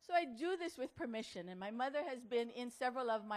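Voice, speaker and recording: A woman with a Hawaiian accent, high pitch, lively intonation and a fairly quick pace. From Hawaii, Kauai. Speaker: motivational speaker. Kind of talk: talk to an audience. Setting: outdoor tent with audience.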